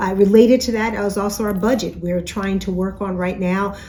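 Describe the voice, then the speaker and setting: Noticeable background noise accompanies a woman who talks very fast at a medium pitch with fairly even intonation. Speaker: university president. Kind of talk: weekly message to campus. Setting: office.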